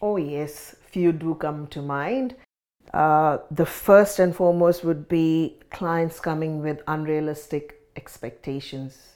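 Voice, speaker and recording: Speaking at a very slow pace, a woman has a very deep, low pitch and a dark, mellow tone on a very clean recording with a silent background. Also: ordinary pitch variation. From India. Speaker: financial counsellor. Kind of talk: interview.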